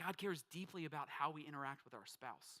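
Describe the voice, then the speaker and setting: The voice has a bright, sharp tone and ordinary pitch variation, recorded with a dry, close sound with no echo. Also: man. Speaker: pastor. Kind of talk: sermon.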